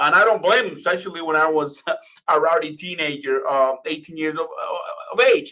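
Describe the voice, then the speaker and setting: Speaking at a fairly quick pace, a man in a Spanish accent has fairly high pitch and ordinary pitch variation. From Venezuela, then Florida from age ten. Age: 30s. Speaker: communications and PR expert. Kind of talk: presentation to live online audience.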